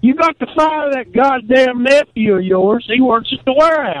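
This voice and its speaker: A man's extremely high-pitched voice with ordinary pitch variation and a dry, close sound with no echo. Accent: Southern US. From US South. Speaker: caller. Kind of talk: casual chat.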